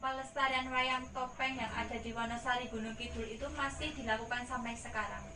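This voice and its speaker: High pitch from a woman, monotone and flat, at a moderate pace over noticeable background noise. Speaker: student reporter. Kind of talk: news presenter interview questions.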